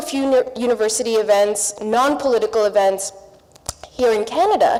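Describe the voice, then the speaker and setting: Noticeable background noise runs beneath a woman who speaks fairly quickly. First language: not English. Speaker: panelist, public broadcaster journalist. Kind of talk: panel discussion.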